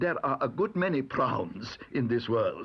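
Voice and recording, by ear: Someone is reading aloud in a natural voice.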